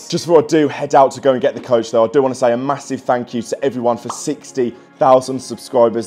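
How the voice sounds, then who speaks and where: Faint music plays in the background as a man speaks at a very fast pace. His pitch varies in an ordinary way. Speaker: football fan vlogger. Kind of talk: casual vlog chat. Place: home room. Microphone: phone near.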